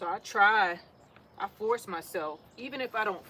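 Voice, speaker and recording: In a New York accent, a woman talks at a medium pitch. Her intonation is lively. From New York City. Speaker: gardening vlogger. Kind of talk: casual monologue while potting plants.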